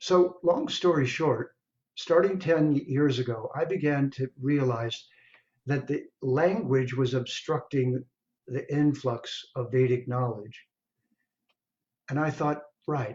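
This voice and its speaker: Somewhat breathy, the voice moves at a very slow pace with ordinary pitch variation and long, frequent pauses. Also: man, fairly high pitch for a man. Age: 70s. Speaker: Vedic scholar and translator. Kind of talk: speech at online launch event.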